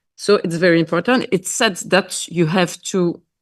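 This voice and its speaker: Using a non-native accent, a woman speaks at a fairly slow pace with a fairly low pitch and ordinary pitch variation. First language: Dutch or French. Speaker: member of parliament. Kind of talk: panel discussion. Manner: halting.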